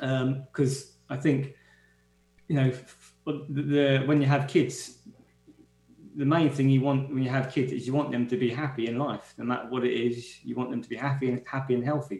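With music in the background, a man in a London accent speaks at a moderate pace with monotone, flat intonation. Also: medium pitch for a man. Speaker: guest's partner. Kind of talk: casual chat. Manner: halting.

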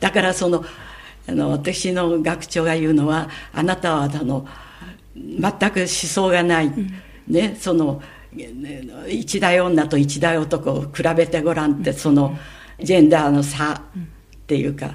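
Her pitch is very deep and low, and her intonation fairly even. The woman speaks at a fairly slow pace with long, frequent pauses. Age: 90s. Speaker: sex educator and scriptwriter. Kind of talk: interview.

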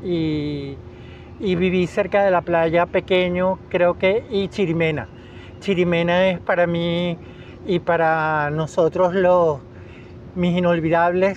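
Here a man talks at a very slow pace in a high voice. His intonation is monotone and flat. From Venezuela, Caracas. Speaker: biologist, educator and children's author. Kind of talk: radio interview.

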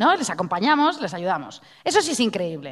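An animated woman's voice, fairly high-pitched, with very wide pitch swings, on a very clean recording with a silent background. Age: 40s. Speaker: radio host. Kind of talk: casual chat.

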